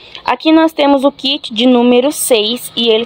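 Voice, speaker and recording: A woman talks in a Brazilian accent with ordinary pitch variation. The sound is dry, with no echo. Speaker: plant seller and vlogger. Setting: home video recording, showing plants to camera. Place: garden. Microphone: phone near.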